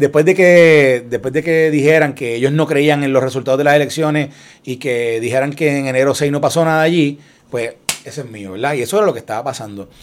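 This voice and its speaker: Here a man speaks at a fairly quick pace. His fairly high pitch shows ordinary pitch variation. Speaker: former political aide. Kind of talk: casual chat. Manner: halting.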